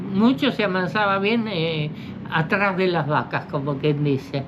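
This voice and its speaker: At a moderate pace, a woman is talking. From Argentina, Buenos Aires province countryside. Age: 80s+. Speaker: horse tamer and rural worker. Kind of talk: interview answer.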